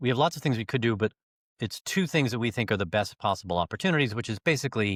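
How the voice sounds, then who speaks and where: Recorded very cleanly against a silent background, a man speaks at a fairly quick pace with fairly low pitch and ordinary pitch variation, the sound dry and close with no echo. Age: 60s. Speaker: leadership coach. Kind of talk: interview. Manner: halting, many fillers.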